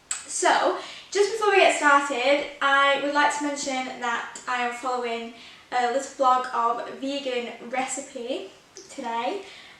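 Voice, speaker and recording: A raised, projected voice in an English accent, fairly slow, with audible room echo. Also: woman, high pitch for a woman, ordinary pitch variation. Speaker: baking vlogger. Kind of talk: tutorial. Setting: home kitchen. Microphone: echoey room.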